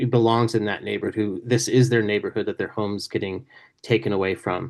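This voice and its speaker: A speaker with an American accent talks at a very fast pace with vocal fry and ordinary pitch variation. The background is quiet. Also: man, medium pitch for a man. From Indiana, US Midwest. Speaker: author. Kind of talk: panel Q&A talk. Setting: video call.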